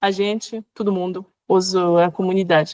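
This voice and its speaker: Recorded very cleanly against a silent background with a dry, close sound and no echo, a woman with a French accent speaks at a fairly slow pace. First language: French (speaking Portuguese). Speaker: workshop facilitator, researcher. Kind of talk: workshop discussion answer. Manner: halting, many fillers.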